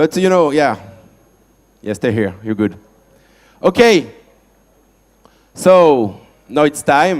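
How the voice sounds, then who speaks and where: Speaking very slowly with long, frequent pauses, a man with a French accent has a fairly high pitch and very wide pitch swings. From France. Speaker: event host. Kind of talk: event announcement.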